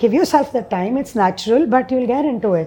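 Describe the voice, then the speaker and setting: A woman speaks with an Indian accent in a dark, mellow tone. Her pitch swings very widely at a fairly quick pace. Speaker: social entrepreneur. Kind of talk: interview.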